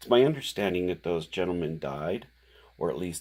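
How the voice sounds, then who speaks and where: A quiet man's very deep, low voice with ordinary pitch variation, in a very clean recording with a silent background. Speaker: independent researcher presenting theories. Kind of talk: monologue explaining theories. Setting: at home late at night. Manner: halting with fillers.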